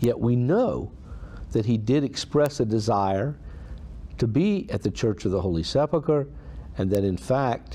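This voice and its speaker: A man speaks at a fairly slow pace in a dark, mellow tone that is somewhat breathy. His pitch swings very widely. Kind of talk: homily on a saint's life. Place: home room. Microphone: phone near.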